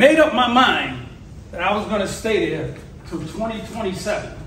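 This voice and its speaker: A loud, passionate man with a New York accent, extremely high in pitch and fairly quick, amid audible room echo and noticeable background noise. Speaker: motivational speaker. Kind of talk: motivational speech.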